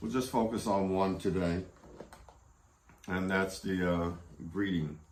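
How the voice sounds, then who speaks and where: Audible room echo fills the space. A man's voice is heard in it. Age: 70s. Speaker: Quran study group teacher. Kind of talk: lecture. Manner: halting, many fillers.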